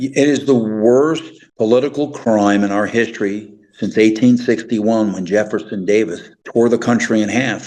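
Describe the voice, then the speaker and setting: A man speaks at a moderate pace with an American accent. His pitch sits in the middle, and his intonation stays fairly even. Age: 60s. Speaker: retired intelligence officer. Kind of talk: interview. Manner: halting.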